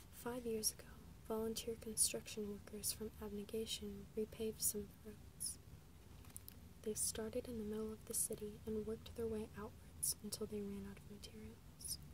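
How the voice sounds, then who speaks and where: A soft-spoken whisper comes through over noticeable background noise. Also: woman, moderate pace. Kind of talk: ASMR book reading, soft-spoken. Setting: recorded without a proper microphone. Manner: soft-spoken, whispered.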